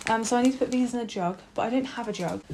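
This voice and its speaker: Pitch moves in an ordinary way over noticeable background noise. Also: woman. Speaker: student vlogger. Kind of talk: casual chat. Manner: animated.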